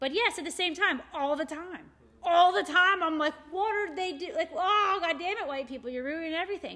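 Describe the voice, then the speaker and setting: A woman's raised, projected voice, extremely high in pitch, bright and sharp, with an American accent, ordinary pitch variation and a moderate pace. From Morgantown, West Virginia. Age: 40s. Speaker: shop owner and art event organizer. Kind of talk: casual chat.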